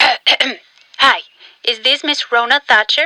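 A female-sounding voice, high in pitch for a woman, performs a put-on character voice at a very slow pace. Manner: dry.

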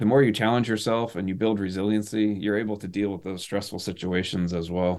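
A man with an American accent uses a plain, everyday voice, fairly low in pitch with fairly even intonation, at a fairly quick pace with hardly any pauses, on a very clean recording with a silent background. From US Northeast (northern Maine). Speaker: military veteran and helicopter pilot. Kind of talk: casual interview chat.

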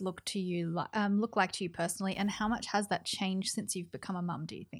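Recorded very cleanly against a silent background, a woman with an Australian accent speaks at a medium pitch and a fairly quick pace. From New South Wales, Australia. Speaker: podcast host. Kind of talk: casual interview.

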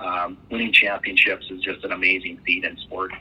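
A man with a Canadian Prairies accent, moderate pace, and noticeable background noise. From Western Canada. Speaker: baseball team owner and former pro player. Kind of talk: interview. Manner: hesitant, many fillers.

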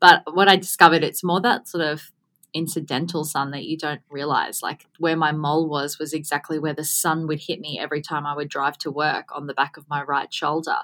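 This woman's voice is very deep and low, with a bright, sharp tone. Her intonation stays flat and monotone while her loudness swings widely. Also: fairly quick pace. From Gold Coast, Australia. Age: 30s. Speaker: business owner, podcaster, skin cancer advocate. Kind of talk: interview conversation.

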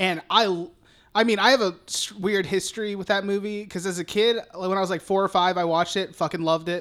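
The tone is animated and the pace fairly quick. The recording is very clean, with a silent background. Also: man. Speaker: podcast co-host. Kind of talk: casual chat. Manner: animated, profane and laughing.

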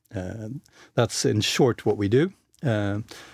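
A man speaks with a slight Swedish accent and ordinary pitch variation. The recording is very clean, and the background is silent. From Sweden. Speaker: managing director of an employer branding firm. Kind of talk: interview.

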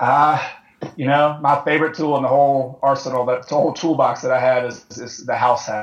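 A man with an ordinary speaking voice, fairly high in pitch, at a moderate pace and with fairly even intonation. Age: 30s. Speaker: real estate investor. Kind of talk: interview.

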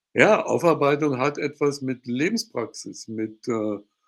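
A man is speaking. His pace is fairly slow. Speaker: law professor and former judge. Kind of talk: interview. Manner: hesitant, with fillers.

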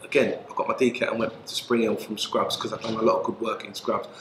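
A man in a London accent over noticeable background noise. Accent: London English, Multicultural London. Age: 50s. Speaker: former prisoner, community worker. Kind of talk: interview.

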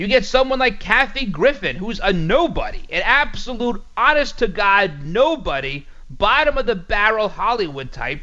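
Raised and projected, a man's high-pitched voice with a bright, sharp tone and an American accent moves at a moderate pace with hardly any pauses and very wide pitch swings. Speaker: radio host. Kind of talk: conservative talk radio monologue; infomercial-style sponsor read, salesy pitch. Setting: studio. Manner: opinionated, punchy; upbeat, persuasive, brisk.

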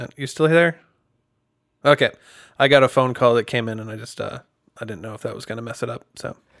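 A man with an American accent and vocal fry, speaking very fast, with long, frequent pauses and big swings in loudness. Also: medium pitch for a man, ordinary pitch variation. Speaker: singer-songwriter. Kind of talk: casual chat.

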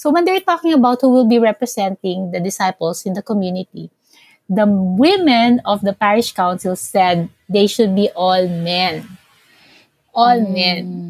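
A woman speaks at a moderate pace, her voice somewhat breathy, with ordinary pitch variation. The sound is dry and close, with no echo. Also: medium pitch for a woman. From Philippines. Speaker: pastoral worker and practical theologian. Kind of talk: interview conversation.

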